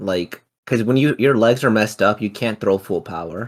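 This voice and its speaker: Fairly slow and fairly low in pitch, a man talks in a normal speaking voice. The recording is very clean, with a silent background. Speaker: MMA podcast co-host. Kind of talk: casual chat.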